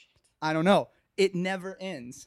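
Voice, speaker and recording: Here a man with an American accent speaks at a high pitch. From Michigan, Okemos near East Lansing. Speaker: saxophonist. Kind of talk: casual chat. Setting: sharing one mic on a couch.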